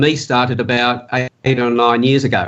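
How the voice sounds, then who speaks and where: Here a man talks with an Australian accent. His intonation stays fairly even. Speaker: profiling and communication specialist. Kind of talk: interview. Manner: fast.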